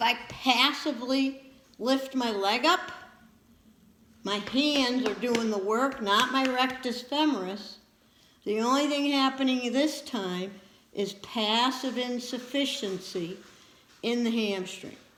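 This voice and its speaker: A high-pitched woman at a very slow pace, long, frequent pauses and audible room echo around her. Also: ordinary pitch variation. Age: 60s. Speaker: physical therapy instructor. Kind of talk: lecture.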